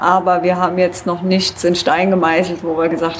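Against noticeable background noise, a woman speaks at a moderate pace in a fairly low pitch with monotone, flat intonation. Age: 30s. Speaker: traveler and climber. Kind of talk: casual interview. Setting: event at a museum summer festival.

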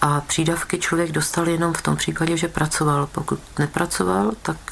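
Noticeable background noise surrounds a woman with a very deep, low pitch. She speaks at a moderate pace. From Czechia, Krkonoše region (Trutnov). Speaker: teacher and dissident. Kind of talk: oral history interview. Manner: measured.

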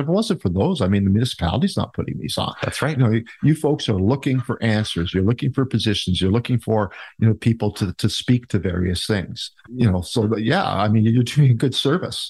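Against a quiet background, a man with an Ontario accent talks at a fairly quick pace, medium in pitch and somewhat breathy, with lively intonation. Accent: Canadian (Ontario). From Ontario, Canada (Niagara Falls). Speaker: mayoral candidate and local business owner. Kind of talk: interview.

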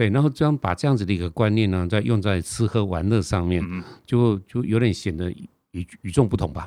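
This man has a Taiwanese accent and a fairly low pitch, with a dark, mellow tone. He talks at a fairly quick pace with lively intonation on a very clean recording with a silent background. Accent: Taiwanese Mandarin. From Taiwan, Nantou County. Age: 60s. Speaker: author and TV travel host. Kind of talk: interview.

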